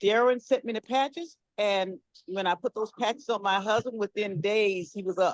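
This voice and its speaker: A plain, everyday voice at a moderate pace, in a dry, close sound with no echo. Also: woman. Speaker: caller giving testimony. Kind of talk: testimony.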